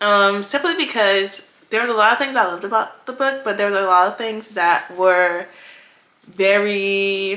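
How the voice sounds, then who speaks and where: With a bright, sharp tone and medium pitch, a woman talks at a fairly slow pace with ordinary pitch variation. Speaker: book vlogger. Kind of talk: casual vlog chat. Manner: casual, filler-heavy.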